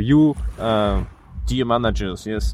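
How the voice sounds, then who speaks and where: A man with a French accent at a fairly slow pace. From France. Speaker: bicycle traveler. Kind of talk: casual chat.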